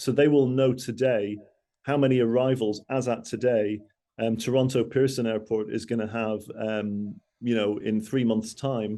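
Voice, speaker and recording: At a moderate pace, a man with a Mancunian accent speaks at a medium pitch with a dark, mellow tone and fairly even intonation. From Manchester, northern England. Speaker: travel industry speaker. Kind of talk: business presentation. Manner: hesitant, many fillers and repeats.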